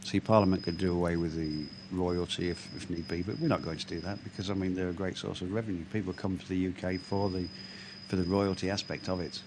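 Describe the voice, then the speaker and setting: A man with an English accent talks at a very fast pace in a very deep, low voice. His intonation is monotone and flat. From England, East Midlands. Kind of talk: casual chat. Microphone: bad audio, sounds like transporter beam.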